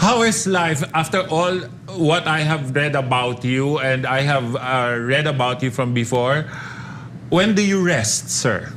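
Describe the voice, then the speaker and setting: A voice with a Filipino accent at a fairly slow pace, with very even loudness and ordinary pitch variation, amid noticeable background noise and audible room echo. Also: man, fairly high pitch for a man. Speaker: radio host. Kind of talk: interview.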